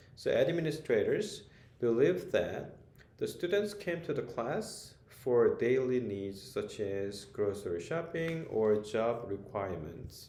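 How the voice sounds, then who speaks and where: A man speaks fairly slowly at medium pitch in a dark, mellow tone. His pitch swings very widely, and the room echo is audible. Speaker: author and ESL teacher. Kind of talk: book presentation. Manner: hesitant, frequent fillers.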